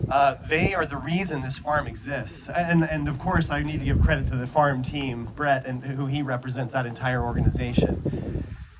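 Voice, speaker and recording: A man with a medium-pitched voice speaks in an animated tone over noticeable background noise. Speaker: company executive speaking at a retreat. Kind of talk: speech to an audience with translators. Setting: live event with translators, at a farm. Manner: animated, somewhat halting with repeats.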